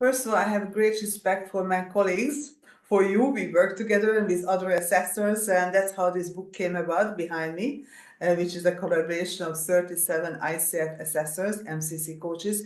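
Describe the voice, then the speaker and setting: A woman with a Hungarian accent speaks fairly quickly at a medium pitch with ordinary variation. Noticeable background noise and audible room echo are present. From Hungary, Budapest. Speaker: executive coach and coach assessor. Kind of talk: interview. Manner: halting.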